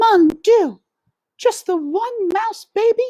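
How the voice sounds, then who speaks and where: This is a put-on character voice with an extremely high, squeaky pitch. The delivery is very slow. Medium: read story. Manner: melodramatic, sighing.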